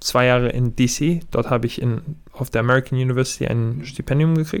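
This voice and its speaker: With a Serbian accent, a man speaks at a moderate pace in a medium pitch with ordinary pitch variation. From Germany. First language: Serbian (speaking German). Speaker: professional basketball player. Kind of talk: podcast interview.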